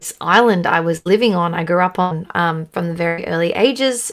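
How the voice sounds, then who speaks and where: With an Australian accent, a woman talks at a medium pitch. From Australia, Sydney. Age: young. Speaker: country singer. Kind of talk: casual interview chat. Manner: halting, many fillers.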